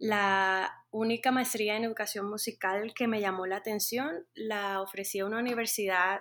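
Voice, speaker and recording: The speaker goes at a fairly slow pace with fairly even intonation. The recording is very clean, with a silent background. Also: woman. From Colombia, Caribbean coast (Montería). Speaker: music teacher. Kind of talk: interview. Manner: hesitant, many fillers.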